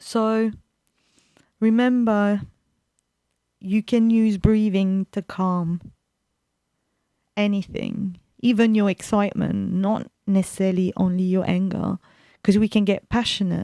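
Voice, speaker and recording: A woman's medium-pitched voice, dark and mellow in tone, at a fairly slow pace with long, frequent pauses, monotone, flat intonation, and a dry, close sound with no echo. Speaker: radio host. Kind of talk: radio talk. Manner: loud.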